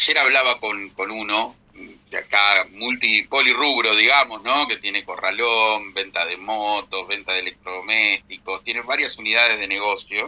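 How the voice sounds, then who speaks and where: A man's normal speaking voice, fairly low in pitch, with fairly even intonation and a fairly slow pace. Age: 40s. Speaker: economist and businessman, co-host. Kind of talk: radio podcast conversation on economics. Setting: radio studio.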